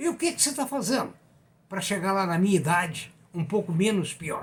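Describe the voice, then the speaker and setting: With very wide pitch swings, a man speaks at a high pitch. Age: 80s+. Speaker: economics commentator, retired professor. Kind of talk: economic commentary monologue. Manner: conversational.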